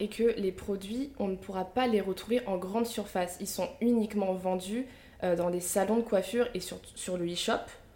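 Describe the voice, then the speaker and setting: A woman at a moderate pace, medium in pitch with fairly even intonation, amid noticeable background noise. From Picardie, northern France. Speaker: podcast host and media founder. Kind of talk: interview.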